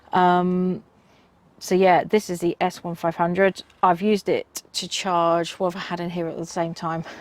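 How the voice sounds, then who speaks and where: Monotone, flat intonation in a British accent. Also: woman, fairly low pitch for a woman, moderate pace. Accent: UK. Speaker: car camping vlogger. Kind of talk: product review. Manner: casual, many filler ums.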